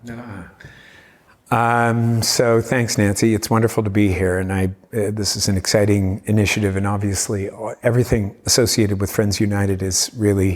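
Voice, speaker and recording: At a moderate pace, a man with a Cape Breton accent speaks in a monotone, flat intonation at a fairly low pitch. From Cape Breton, Nova Scotia, Canada. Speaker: community engagement leader and former defence lawyer. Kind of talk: interview conversation. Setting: convention centre talk event.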